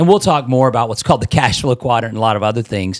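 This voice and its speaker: On a very clean recording with a silent background, a man with a medium pitch speaks in an animated tone with ordinary pitch variation. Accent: Midwestern US. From Nebraska. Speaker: real estate investor and trainer. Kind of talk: casual podcast chat. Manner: animated, repeats words.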